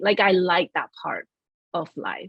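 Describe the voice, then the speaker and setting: A woman speaks with a Chinese accent. Her pace is fairly slow. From China, Shanghai. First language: Shanghainese and Mandarin Chinese. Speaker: creative director at a financial firm. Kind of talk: interview.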